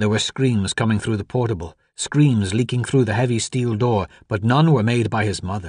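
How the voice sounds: Text voiced in a natural reading voice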